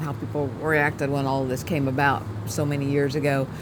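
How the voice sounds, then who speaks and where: A woman is speaking. Her voice carries audible room echo, and there is noticeable background noise. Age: 50s. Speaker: video creator, wife. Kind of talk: casual chat.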